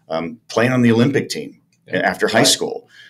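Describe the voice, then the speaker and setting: With an American accent, a man is speaking. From US Midwest (Chicago area). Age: 50s. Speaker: former pro baseball player and radio host. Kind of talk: casual interview. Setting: in-person in a small echoey room. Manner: animated storyteller. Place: studio. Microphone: studio mic.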